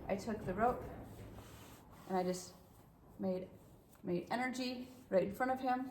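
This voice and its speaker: A woman's voice carries audible room echo. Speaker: horse trainer. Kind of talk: tutorial. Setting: horse stall.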